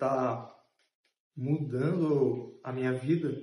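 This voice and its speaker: The voice is dark, mellow and somewhat breathy. Room echo can be heard. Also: man. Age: 30s. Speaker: journalism student and intern. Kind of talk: interview testimony.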